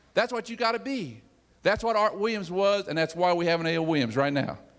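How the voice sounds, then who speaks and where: A man at a very fast pace with lively intonation. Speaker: business executive giving motivational talk. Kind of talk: motivational speech to sales audience. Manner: self-described laid back and quiet; repetitive, emphatic exhortation.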